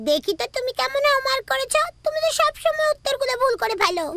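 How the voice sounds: In a cartoonish character voice, someone talks at an extremely high pitch and a fairly quick pace.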